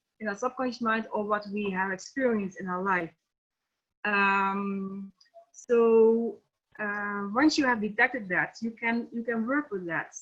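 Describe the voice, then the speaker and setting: Here a woman speaks in a Dutch accent. Her pace is fairly slow. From Netherlands. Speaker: NLP trainer and coach. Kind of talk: webinar lecture. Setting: online webinar. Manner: halting, many fillers.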